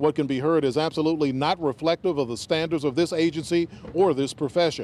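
Light background noise sits under a man speaking at a fairly quick pace with ordinary pitch variation, the sound dry with no echo. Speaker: TV news reporter. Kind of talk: news report. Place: street. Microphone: handheld.

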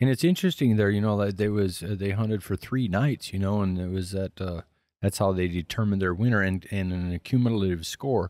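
With an ordinary speaking voice, a man talks at a fairly low pitch and a fairly quick pace, his pitch varying in an ordinary way in a dry sound with no echo. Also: quiet background. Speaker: podcast co-host and hunting program director; podcast co-host. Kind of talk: casual interview.

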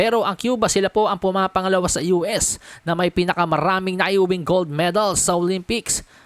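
A woman with an ordinary speaking voice at medium pitch, fairly quick with hardly any pauses, very even loudness, fairly even intonation, and a dry, close sound with no echo. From Philippines. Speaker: sports news vlogger. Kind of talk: sports news commentary.

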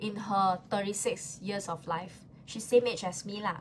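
Over light background noise, a somewhat breathy woman talks at a moderate pace with lively intonation. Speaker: live-stream seller. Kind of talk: live-stream sales pitch. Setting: live stream with chat comments. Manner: animated, chatty, switching between Mandarin and English. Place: home room. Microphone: phone near.

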